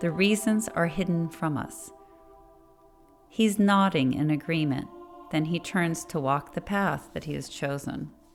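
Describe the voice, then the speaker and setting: A woman speaks at a fairly slow pace in a fairly low pitch with ordinary pitch variation, music playing in the background. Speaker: spiritual podcast host. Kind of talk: spiritual meditation podcast narration. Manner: slow, methodical.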